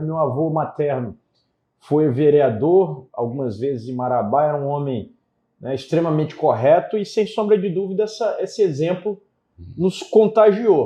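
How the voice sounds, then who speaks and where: A man's dark, mellow voice moves at a fairly slow pace. His intonation is lively. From Brazil, Pará, mixed with Espírito Santo and Ceará. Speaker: politician, former federal police chief. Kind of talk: interview.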